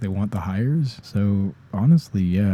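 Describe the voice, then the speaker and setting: The voice belongs to a man and sits fairly low. It has a dark, mellow tone. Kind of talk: unscripted ASMR ramble. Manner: casual, rambling.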